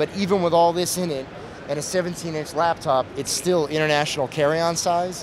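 The speech moves at a moderate pace with fairly even intonation. The sound is dry with no echo, though background noise is noticeable. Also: man. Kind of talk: product demo interview answer. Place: hall. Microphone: handheld.

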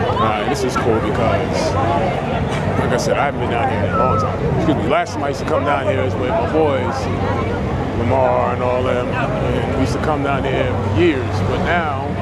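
Over crowd noise in the background, a man speaks at a moderate pace with ordinary pitch variation, and the sound is dry with no echo. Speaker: vlogger. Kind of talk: casual vlog chat. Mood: nostalgic, pleased. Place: street. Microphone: phone near.

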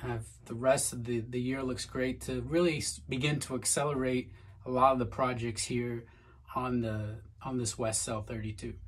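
A man's somewhat breathy voice keeps a moderate pace and fairly even intonation. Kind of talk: tutorial. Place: boat. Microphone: phone near.

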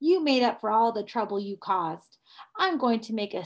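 Behind the speaker, things stay quiet. An unforced reading voice carries lively intonation.

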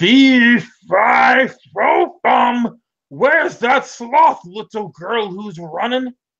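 Putting on a character voice, a man talks at a very slow pace with an extremely high pitch.

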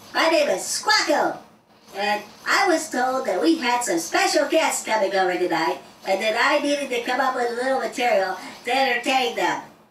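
A female-sounding cartoonish character voice rings out at a high pitch. A slight echo follows it. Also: moderate pace. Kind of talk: stand-up comedy routine. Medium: puppet show. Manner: jokey, boastful, chatty.

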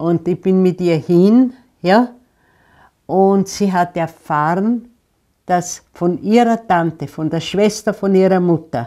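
A woman speaks at a very slow pace, leaving long, frequent pauses, in a dark, mellow tone. Her pitch varies in an ordinary way over a quiet background. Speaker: resistance fighter and concentration camp survivor. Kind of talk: interview answer. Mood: calm, reflective storytelling. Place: home room. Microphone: lapel.

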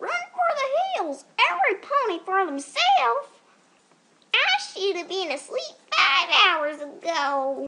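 This female-sounding voice is a put-on character voice at an extremely high pitch. It moves at a fairly slow pace. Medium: voice reel.

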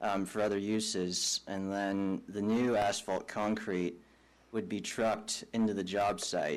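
A plain, everyday voice from a man, fairly low in pitch and at a fairly slow pace. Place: hall.

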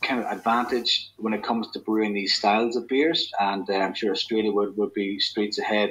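A man with a fairly low pitch and a fairly bright tone speaks at a fairly quick pace, with a slightly husky edge and little pitch movement.

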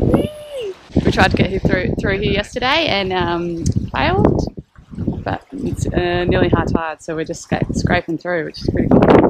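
A woman speaks at a moderate pace. Loud background noise is present, though the sound is dry with no echo. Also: ordinary pitch variation. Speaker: sailing vlogger. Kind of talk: casual vlog chat. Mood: excited, joyful. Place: boat. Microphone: phone near.

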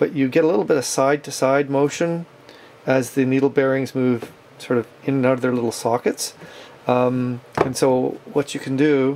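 Over light background noise, the talking proceeds at a moderate pace. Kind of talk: tutorial. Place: workshop.

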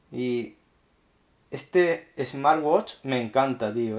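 A man's very slow delivery over a quiet background. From Spain. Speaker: tech YouTuber. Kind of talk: unboxing tutorial. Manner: animated. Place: home room.

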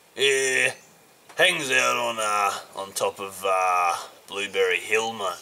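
A man's put-on character voice, fairly low and drawling, at a very slow pace with very wide pitch swings and long, frequent pauses. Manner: casual, drawling, says mate.

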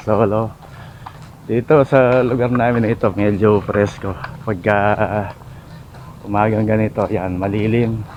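Over noticeable background noise, a man speaks at a fairly slow pace with fairly even intonation. Long, frequent pauses break up his speech. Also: fairly low pitch for a man. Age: 50s. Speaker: vlogger. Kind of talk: casual vlog narration. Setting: outdoors.

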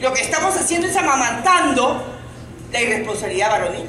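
A woman speaks at a high pitch with very wide pitch swings, with light background noise and audible room echo. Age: 50s. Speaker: congresswoman giving legal advice. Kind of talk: public workshop Q&A. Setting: workshop with live audience. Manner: animated. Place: hall. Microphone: handheld.

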